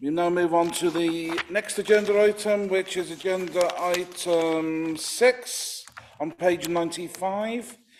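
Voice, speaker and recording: A man speaks very slowly in a high pitch with fairly even intonation. Noticeable background noise runs behind him. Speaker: committee chair. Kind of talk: chairing a committee meeting.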